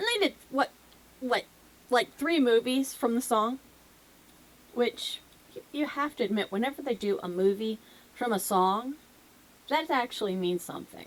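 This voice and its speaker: With a slight Southern US accent, a woman speaks at a high pitch with lively intonation. She leaves long, frequent pauses. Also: moderate pace. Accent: slight southern US twang. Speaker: music reaction youtuber. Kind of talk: casual vlog chat to camera. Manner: animated. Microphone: echoey mic.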